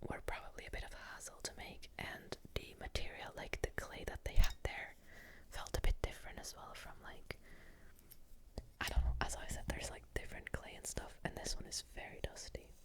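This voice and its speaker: The whispering moves along at a moderate pace. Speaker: ASMR creator. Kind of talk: whispered ASMR commentary. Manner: whispered.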